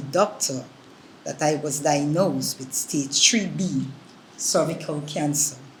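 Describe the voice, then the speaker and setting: Amid noticeable background noise and audible room echo, a woman with a very deep, low pitch speaks at a fairly slow pace. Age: 60s. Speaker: cancer survivor. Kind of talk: testimony.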